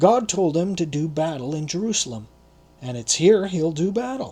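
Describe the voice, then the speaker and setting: A man's put-on character voice, high in pitch, at a moderate pace. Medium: read story.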